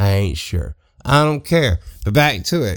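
A man speaks with a Mississippi accent. His pitch swings very widely. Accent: Mississippi Southern drawl. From US South, Southeast Mississippi. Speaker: comedy podcaster. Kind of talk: comedic rant monologue. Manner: animated.

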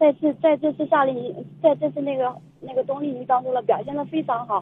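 At a moderate pace, a woman talks in a high-pitched voice. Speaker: mother of two young tea-art students. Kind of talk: radio interview. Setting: phone call from a car on the highway. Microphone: phone line, signal dropouts.

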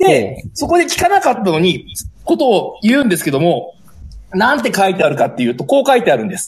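High-pitched man with very wide pitch swings at a very fast pace, amid noticeable background noise. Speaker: teacher. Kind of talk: book review. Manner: heated, indignant.

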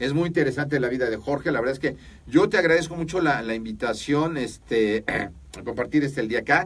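His voice comes across as somewhat breathy. This man speaks at a fairly quick pace. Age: 50s. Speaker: podcast host. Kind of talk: interview.

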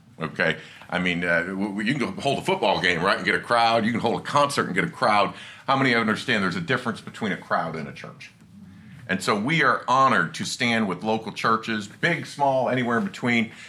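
In a room with audible echo, a man with a medium pitch talks at a fairly quick pace, his tone animated and his intonation lively. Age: 50s. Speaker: attorney and conference speaker. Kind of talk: lecture. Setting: stage with audience.

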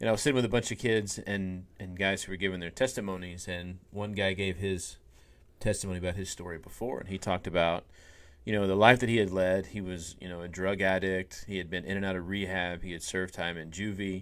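A man with a very deep, low pitch and fairly even intonation is heard in a very clean recording with a silent background. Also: fairly quick pace. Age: 40s. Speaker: minister and podcast co-host. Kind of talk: casual faith discussion podcast.

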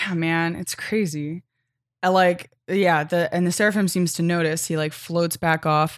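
A woman with an American accent speaks fairly slowly in a fairly low, monotone voice with flat intonation, on a very clean recording with a silent background. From United States. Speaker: podcast co-host. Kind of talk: casual chat.

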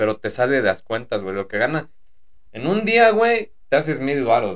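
A man with a Mexican accent. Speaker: podcast co-host, former private driver. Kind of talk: casual chat.

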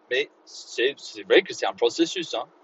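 Here a man speaks at a moderate pace. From Northern Ireland, Belfast. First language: English (speaking French). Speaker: English teacher and podcast host. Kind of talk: solo educational podcast monologue. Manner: halting, many fillers and repetitions.

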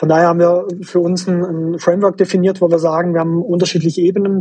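A man speaks very fast in a high voice, with a dark, mellow tone and flat, monotone intonation. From Swabia, southwestern Germany. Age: 30s. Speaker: management consultant. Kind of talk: interview. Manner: hesitant with fillers.

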